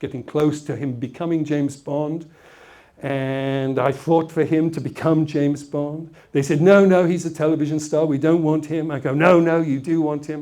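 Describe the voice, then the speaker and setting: A fairly high-pitched man in an English accent, at a moderate pace, with fairly even intonation. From England, Essex. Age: old. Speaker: motivational speaker. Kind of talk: motivational talk with anecdotes.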